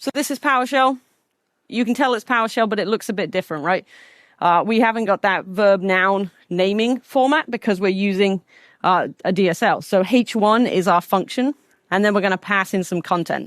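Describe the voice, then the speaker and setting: A woman with an American accent speaks at a moderate pace and medium pitch with ordinary variation. The very clean recording has a silent background and a dry, close sound with no echo. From England. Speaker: conference speaker, data platform engineer. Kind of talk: technical conference talk.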